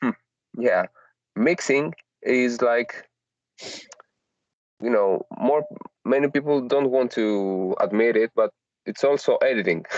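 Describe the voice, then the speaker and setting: A man's medium-pitched voice at a very slow pace, with long, frequent pauses, ordinary pitch variation, very even loudness and a dry, close sound with no echo. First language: not English. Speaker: solo artist and audio engineer. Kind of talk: casual chat. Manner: halting, many fillers.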